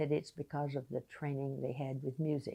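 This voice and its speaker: At a moderate pace, a woman with a very deep, low pitch speaks in a dark, mellow tone with vocal fry. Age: 80s+. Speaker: retired piano teacher. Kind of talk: casual talk to camera.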